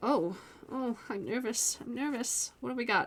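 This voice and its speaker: The woman speaks at a fairly slow pace. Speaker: tarot reader. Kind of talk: tarot reading. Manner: animated.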